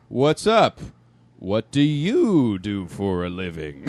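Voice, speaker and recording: A man talks at a very slow pace in a put-on character voice. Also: fairly low pitch for a man. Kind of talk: casual, comedic. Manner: brash, upbeat.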